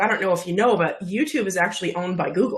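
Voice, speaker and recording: A woman speaks in a somewhat breathy voice. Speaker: video marketing coach. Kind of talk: interview.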